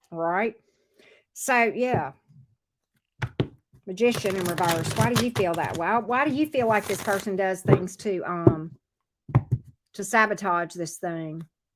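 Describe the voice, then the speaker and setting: Speaking at a fairly slow pace, a woman with an American accent uses a medium pitch and lively intonation. Long, frequent pauses break up her speech. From US South. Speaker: tarot reader. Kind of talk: live tarot reading.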